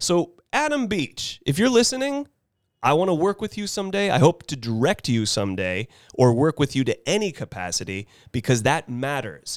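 A man with an American accent speaks animatedly at a fairly high pitch and a moderate pace, with very wide pitch swings. The recording is very clean, dry and close, with no echo and a silent background. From US West Coast, Carmel, California. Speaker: actor. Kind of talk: casual chat.

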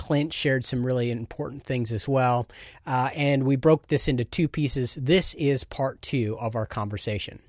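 Recorded with a dry, close sound with no echo against a very clean, silent background, a man with an unremarkable speaking voice talks at a moderate pace, medium pitch, and fairly even intonation. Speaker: podcast host. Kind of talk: podcast interview.

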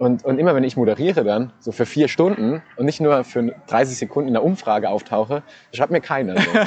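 Speech with lively intonation moves fairly quickly while noticeable background noise sits behind it. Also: man, medium pitch for a man. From Saarland, Saarbrücken. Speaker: radio host. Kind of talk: casual chat. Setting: outdoors in a park.

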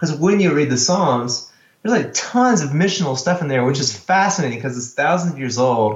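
A man speaks with a fairly high pitch and lively intonation. His voice is somewhat breathy, with audible room echo. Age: 40s. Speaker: worship pastor. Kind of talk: casual chat.

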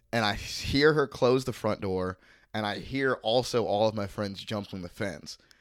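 A plain, everyday voice at a moderate pace with ordinary pitch variation, in a very clean recording against a silent background. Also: man, fairly low pitch for a man. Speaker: comedian. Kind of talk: casual chat.

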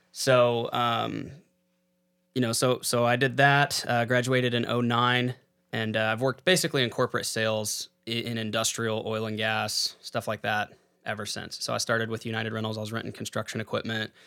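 A man's bright, sharp, medium-pitched voice with a Texan accent, monotone, flat intonation, and a fairly quick pace. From Texas, San Angelo. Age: 30s. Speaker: real estate investor. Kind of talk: casual chat.

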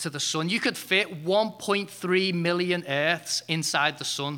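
On a very clean recording with a silent background, a man uses an unremarkable speaking voice at a fairly high pitch with fairly even intonation. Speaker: preacher. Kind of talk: sermon. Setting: church.

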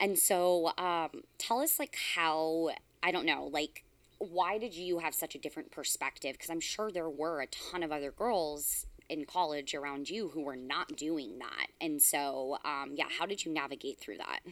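A woman's plain, everyday voice with an American accent, fairly low in pitch, with ordinary pitch variation at a moderate pace, on a very clean recording with a silent background. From California. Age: 30s. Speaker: podcast host, coaching company owner. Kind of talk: casual chat.

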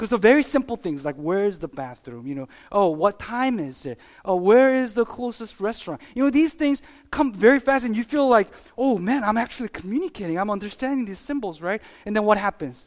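A man talks at a fairly quick pace and a high pitch. His voice moves in very wide pitch swings. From Korea. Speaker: pastor. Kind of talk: sermon. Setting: church. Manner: halting.

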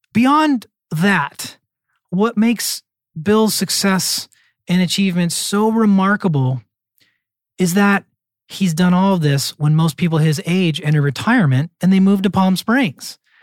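A man with a high voice speaks at a fairly slow pace, with lively intonation and very even loudness. He leaves long, frequent pauses, in a dry, close sound with no echo. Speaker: podcast host. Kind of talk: interview.

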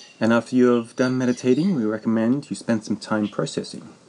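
Noticeable background noise sits behind a man talking at a fairly quick pace. His voice has a medium pitch. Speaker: meditation guide. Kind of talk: guided meditation.

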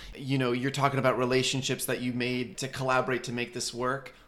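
A man's voice at medium pitch. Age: 20s. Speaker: podcast co-host. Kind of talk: casual interview chat. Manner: animated.

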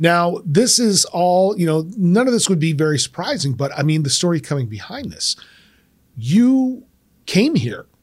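The speaker has a Midwestern American accent and an animated tone. Very wide pitch swings mark the moderate pace. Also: man, high pitch for a man. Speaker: podcast host, former teacher. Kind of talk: interview.

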